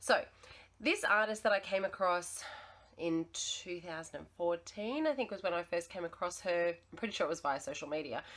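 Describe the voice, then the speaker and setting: Moderate pacing and lively intonation from a woman with an Australian accent. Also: medium pitch for a woman. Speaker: teacher sharing art lessons. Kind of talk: tutorial.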